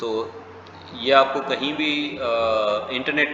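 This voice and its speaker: A man's voice with noticeable background noise. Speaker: travel booking instructor. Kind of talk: software tutorial. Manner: hesitant with fillers.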